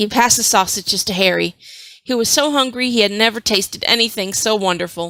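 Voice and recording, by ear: The reading aloud is in a natural voice, and its pitch varies in an ordinary way.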